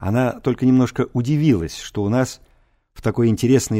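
It is an unforced reading voice set against a quiet background.

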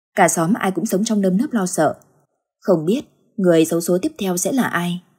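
The background stays quiet. Over it comes reading aloud in a natural voice with ordinary pitch variation.

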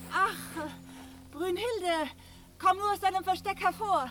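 A woman's put-on character voice, extremely high-pitched and fairly bright, at a slow pace with ordinary pitch variation

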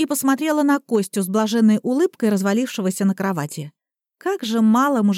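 Over a quiet background, an unforced reading voice is heard.

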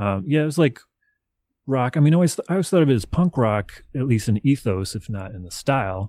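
A man with an American accent, medium pitch, and a dark, mellow tone, at a fairly quick pace with very wide pitch swings and big swings in loudness, in a very clean, dry, close recording with no echo and a silent background. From US South, Nashville, Tennessee. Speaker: electronic hip hop musician. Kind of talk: interview.

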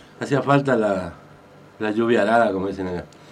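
Speech comes at a fast pace with ordinary pitch variation. The room echo is audible. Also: man, fairly low pitch for a man.

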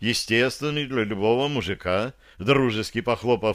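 The reading voice sounds natural. Its pitch moves in an ordinary way.

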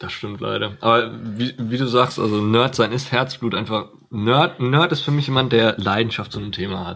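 A man with an ordinary speaking voice, medium pitch, ordinary pitch variation and a moderate pace with hardly any pauses. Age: 20s. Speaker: podcast co-host, university student. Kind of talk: casual chat.

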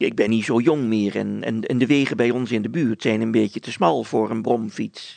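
A reading voice that is unforced.

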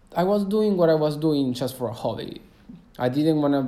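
A man's dark, mellow tone with lively intonation and a Spanish accent, plus audible room echo. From Argentina, Cordoba. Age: 20s. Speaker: travel podcaster. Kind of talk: casual monologue. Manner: halting, many fillers.

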